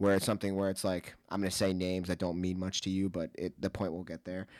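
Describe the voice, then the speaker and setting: The recording is very clean, with a silent background. A man speaks in a very deep, low voice with an American accent. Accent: New Jersey accent, stronger when drunk. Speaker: podcast co-host. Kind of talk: casual chat. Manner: animated.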